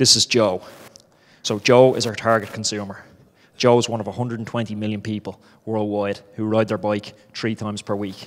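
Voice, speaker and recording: A man with an Irish accent speaks fairly quickly in a fairly low pitch, his intonation monotone and flat. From Ireland. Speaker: startup founder, former professional cyclist. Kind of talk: startup pitch.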